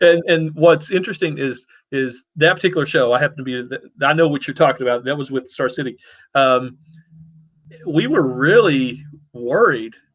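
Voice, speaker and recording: With a Southern US accent, a man speaks at fairly high pitch and a moderate pace, with ordinary pitch variation and long, frequent pauses. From US South, Louisiana. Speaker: web show host. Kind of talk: casual chat.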